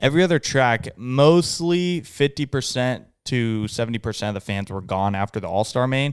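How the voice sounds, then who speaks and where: In a very clean recording with a silent background, a man with a plain, everyday voice talks at a moderate pace, medium pitch and lively intonation. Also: hardly any pauses. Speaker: podcast co-host. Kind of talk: casual chat. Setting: studio.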